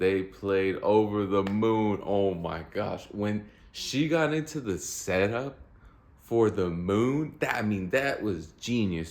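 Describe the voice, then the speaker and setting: There is audible room echo around a man speaking at a fairly low pitch. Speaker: vlogger, amateur musician. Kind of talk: casual storytelling monologue. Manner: animated.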